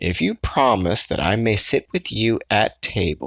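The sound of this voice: Someone reads in an unforced voice, the intonation lively throughout.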